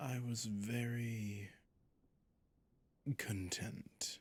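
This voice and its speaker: A man puts on a character voice at a medium pitch. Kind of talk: ASMR roleplay. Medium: solo performance. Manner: slow, savoring, condescending.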